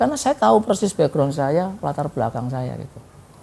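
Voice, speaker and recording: A man's dark, mellow voice moves along at a fairly quick pace. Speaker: guest, motivational speaker. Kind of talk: talk show interview. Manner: fluent now, formerly stuttered.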